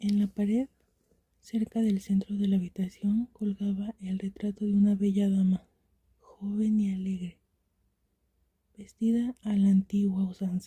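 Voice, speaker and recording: A soft-spoken voice whispers at a fairly slow pace. Long, frequent pauses break up the speech. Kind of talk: story reading. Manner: whispered; soft-spoken, relaxing.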